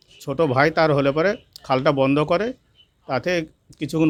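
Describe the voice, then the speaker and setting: With an ordinary speaking voice and ordinary pitch variation, a man talks at a fairly high pitch. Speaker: victim's relative, farmer. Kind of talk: interview testimony.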